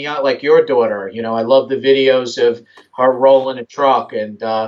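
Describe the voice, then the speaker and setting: A man with a strong New York accent, medium pitch, fairly even intonation and a moderate pace. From New York, Long Island. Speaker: RC hobbyist, sponsored driver. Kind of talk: interview. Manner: hesitant with fillers.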